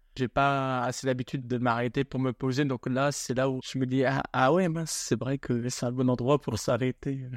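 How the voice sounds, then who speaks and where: A man talks at a moderate pace and medium pitch, in a flat monotone with hardly any pauses. The sound is dry and close with no echo, and the background is quiet. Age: 30s. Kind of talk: interview testimony.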